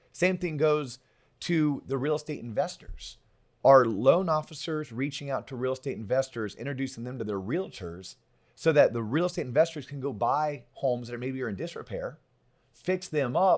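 A man with a Florida accent speaks at a medium pitch in an animated tone, in a very clean recording with a silent background. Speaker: podcast host. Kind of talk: casual interview chat. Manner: animated, excitable.

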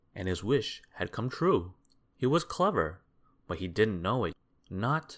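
Unforced voice reading a text aloud

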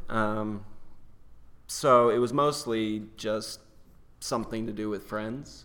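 Audible room echo surrounds a man talking at a very slow pace with long, frequent pauses. His pitch is fairly low and his intonation fairly even. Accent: American. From North Carolina, near Chapel Hill. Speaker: stage actor. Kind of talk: casual interview.

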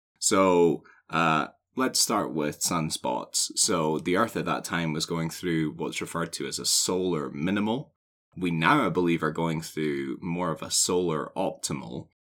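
Speaking at a fairly slow pace, a man has a very deep, low pitch and ordinary pitch variation. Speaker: podcast co-host. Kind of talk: casual chat.

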